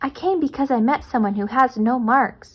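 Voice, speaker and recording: A woman uses a put-on character voice, high in pitch, at a moderate pace. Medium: read story. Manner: timid, uncertain.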